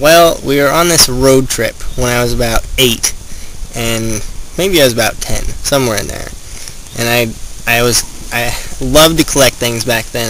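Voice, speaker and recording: This man talks at a moderate pace in a medium pitch with ordinary pitch variation. Noticeable background noise sits behind him. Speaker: student bird artist and photographer. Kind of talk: documentary interview. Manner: casual, conversational.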